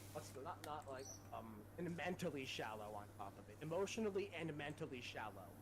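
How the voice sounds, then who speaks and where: A man speaks at a medium pitch with very wide pitch swings. His pace is fairly quick, and background noise is noticeable. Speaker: gaming streamer. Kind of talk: casual chat. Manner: loud, energetic.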